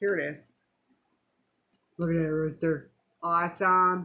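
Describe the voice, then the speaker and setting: A woman speaks in an animated tone that sounds bright and sharp. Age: 60s. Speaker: vlogger sharing weight loss journey. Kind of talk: casual vlog talk to camera. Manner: chatty, animated.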